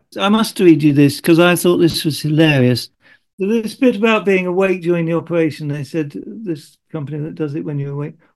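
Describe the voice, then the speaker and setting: With a British accent, a man talks at a fairly quick pace in a fairly high pitch with lively intonation. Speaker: podcast co-host living with Parkinson's. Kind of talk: casual chat. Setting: video call. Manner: halting.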